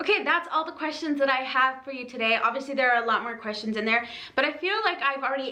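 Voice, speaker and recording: Over noticeable background noise and audible room echo, a woman with a high pitch speaks in a raised, projected voice at a very fast pace with ordinary pitch variation. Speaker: fitness apparel reviewer. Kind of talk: product review video. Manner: casual, filler-heavy.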